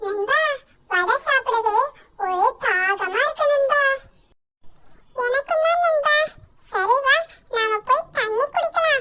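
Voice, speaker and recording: This cartoonish character voice is extremely high in pitch. The pace is very slow. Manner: lively, playful.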